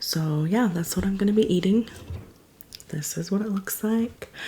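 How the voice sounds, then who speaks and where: A soft-spoken woman. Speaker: mukbang YouTuber. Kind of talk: casual eating vlog. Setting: at home, late night. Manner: quiet, soft-spoken.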